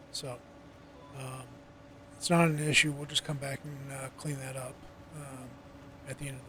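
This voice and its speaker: A man's fairly high voice, monotone and flat, at a moderate pace over noticeable background noise. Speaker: farming game streamer. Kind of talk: gameplay commentary. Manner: casual, many filler words.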